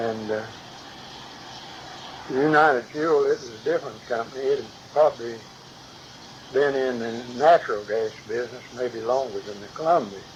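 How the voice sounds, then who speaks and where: A man at a moderate pace with big swings in loudness and long, frequent pauses, against noticeable background noise. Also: medium pitch for a man, ordinary pitch variation. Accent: American. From West Virginia. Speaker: retired gas company worker. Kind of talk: interview answer. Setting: home recording.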